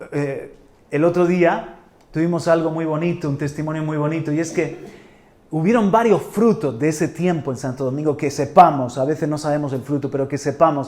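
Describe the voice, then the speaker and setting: Animated and fairly quick, a man speaks at a fairly high pitch with ordinary pitch variation and audible room echo. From Spain, Murcia. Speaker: pastor. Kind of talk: sermon. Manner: halting, many repetitions.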